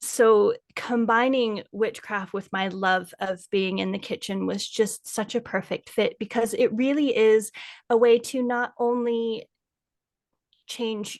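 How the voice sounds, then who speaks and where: With an American accent, a woman uses an ordinary speaking voice at a fairly high pitch, fairly even intonation and a fairly slow pace, recorded dry and close with no echo over a quiet background. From United States. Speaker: food blogger and kitchen witch. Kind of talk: casual interview chat.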